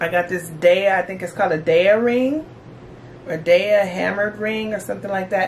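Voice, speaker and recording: A woman is speaking. There is light noise in the background. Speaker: lifestyle vlogger. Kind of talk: casual vlog chat. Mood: cheerful, enthusiastic. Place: home room.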